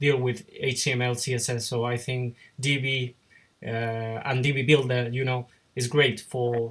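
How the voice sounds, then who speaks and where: A man speaks with a Spanish accent at a medium pitch. His intonation is monotone and flat, and his voice is somewhat breathy. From Spain. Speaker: YouTuber and web designer. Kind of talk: interview. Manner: halting.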